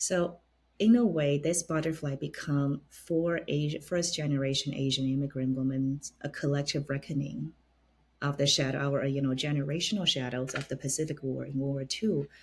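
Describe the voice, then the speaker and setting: A woman with a very deep, low pitch and a somewhat breathy voice speaks at a moderate pace with ordinary pitch variation. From China. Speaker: opera stage director. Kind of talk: interview.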